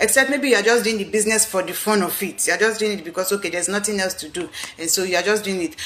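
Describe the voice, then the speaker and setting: A woman talks at a very fast pace with medium pitch and ordinary pitch variation, amid noticeable background noise. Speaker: business coach. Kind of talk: live video talk. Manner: animated.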